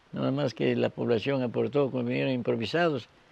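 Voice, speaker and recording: A man's voice with noticeable background noise. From Ecuador, southern Amazon (Zamora Chinchipe). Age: 80s+. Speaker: community elder and former local leader. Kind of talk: oral history interview. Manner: halting.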